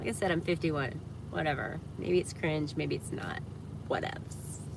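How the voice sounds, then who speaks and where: A woman with an American accent speaks at a moderate pace. Noticeable background noise and audible room echo come through. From US South, Georgia (Atlanta area). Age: 50s. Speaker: livestreamer. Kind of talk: casual livestream chat.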